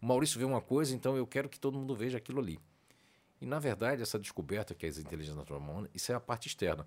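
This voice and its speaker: In a very clean recording with a silent background, a man talks at a very fast pace with vocal fry, a medium pitch and very wide pitch swings. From Northeast Brazil. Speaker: personality researcher and coach, former radio host. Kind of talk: podcast interview. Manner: talkative.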